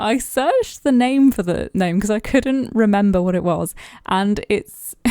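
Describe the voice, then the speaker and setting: A dark, mellow tone comes through in a British accent on a very clean recording with a silent background. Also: woman. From Britain. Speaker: gaming YouTuber. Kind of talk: casual voiceover chat over a speed build.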